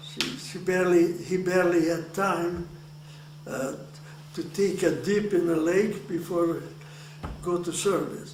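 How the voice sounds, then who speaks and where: A man with a Hungarian accent speaks at a fairly slow pace and a high pitch, with monotone, flat intonation and long, frequent pauses. Noticeable background noise and audible room echo surround him. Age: 80s+. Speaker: Holocaust survivor. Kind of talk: oral history interview. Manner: halting, many repeated words.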